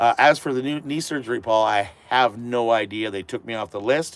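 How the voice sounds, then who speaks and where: Speaking with a Canadian accent, a man keeps a medium pitch, ordinary pitch variation and a moderate pace. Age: 50s. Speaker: van life vlogger. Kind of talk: live stream chat. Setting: live stream. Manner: casual, hesitant.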